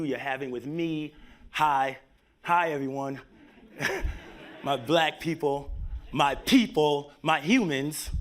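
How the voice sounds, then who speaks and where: A man's fairly high voice with a New York accent. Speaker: tech company executive. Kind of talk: conference talk. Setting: stage with live audience.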